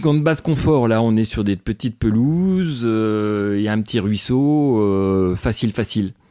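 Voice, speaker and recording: A man's dark, mellow voice at medium pitch, very slow in pace, with lively intonation and very even loudness, on a very clean recording with a silent background. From western France, Le Mans. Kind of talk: personal storytelling. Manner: hesitant, many fillers.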